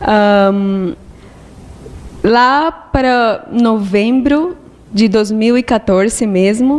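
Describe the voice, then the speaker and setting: A woman's fairly high voice in a Spanish accent, with ordinary pitch variation and noticeable background noise. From Colombia. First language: Spanish (speaking Portuguese). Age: 20s. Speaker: monastic aspirant. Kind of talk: testimony.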